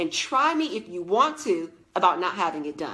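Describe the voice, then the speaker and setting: A woman speaks in an animated tone at a moderate pace, her pitch swinging very widely. Noticeable background noise runs under her voice. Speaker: leadership coach and former teacher. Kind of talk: live stream talk to viewers.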